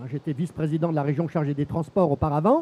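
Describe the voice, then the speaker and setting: A man speaks with a dry, close sound that has no echo. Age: 60s. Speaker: senator. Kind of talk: panel discussion. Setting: stage with audience. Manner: hesitant, many fillers.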